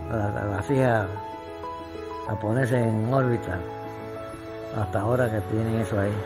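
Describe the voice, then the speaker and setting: The speech moves at a fairly slow pace with clear music in the background. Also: man. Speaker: retired builder and family snack-shop owner. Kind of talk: interview answer. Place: home room. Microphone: lapel.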